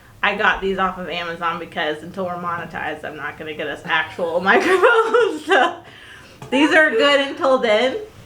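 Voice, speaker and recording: A woman's voice makes very wide pitch swings and big swings in loudness amid audible room echo and noticeable background noise. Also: medium pitch for a woman, moderate pace. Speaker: podcast co-host, spiritual mentor. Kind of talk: casual chat. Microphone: cheap non-professional microphone.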